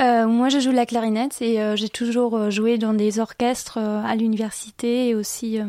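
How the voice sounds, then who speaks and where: A moderate pace with monotone, flat intonation. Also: woman. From western Germany, Viersen (Rhineland). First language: German (speaking French). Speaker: exchange student. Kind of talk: radio interview. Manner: hesitant, many fillers.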